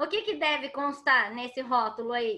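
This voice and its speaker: In a raised, projected voice, a woman speaks at a fairly slow pace with lively intonation and a bright, sharp tone. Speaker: water quality consultant, speaker. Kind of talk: lecture.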